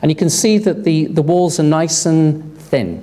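The man talks at a moderate pace. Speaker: conference presenter. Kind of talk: lecture. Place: hall. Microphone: podium.

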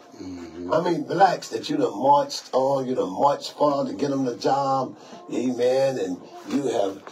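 Over faint music in the background, a man talks at a moderate pace. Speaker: radio show host, bishop. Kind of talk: radio talk commentary. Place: studio. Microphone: phone near.

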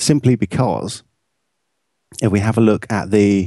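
A man speaks with an English accent at a fairly low pitch. His tone is dark and mellow, with ordinary pitch variation. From England. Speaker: post-production colorist and video editor. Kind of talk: software tutorial. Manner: casual, with frequent fillers.

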